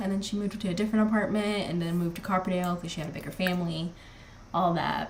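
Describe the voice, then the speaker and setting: A woman at a very fast pace, over noticeable background noise. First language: not English. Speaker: gaming streamer. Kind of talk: live gameplay commentary. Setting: live stream. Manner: casual, chatty with fillers.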